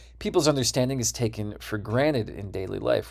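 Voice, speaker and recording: A man with an American accent talks, captured on a very clean recording against a silent background. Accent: Midwestern (Wisconsin), sometimes slips out. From US Midwest (Wisconsin). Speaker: university lecturer. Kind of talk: lecture.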